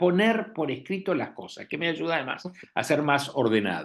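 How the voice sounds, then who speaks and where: The speaker goes at a fairly slow pace, with vocal fry and very wide pitch swings. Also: man. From Argentina, Buenos Aires. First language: Italian (speaking Spanish). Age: 70s. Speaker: physician and author. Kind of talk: lecture. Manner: halting, frequent repetitions.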